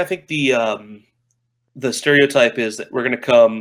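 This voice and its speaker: Someone speaks loudly at a moderate pace with an American accent. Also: man. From United States. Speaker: game marketing manager. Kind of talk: casual interview chat. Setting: remote call from Japan.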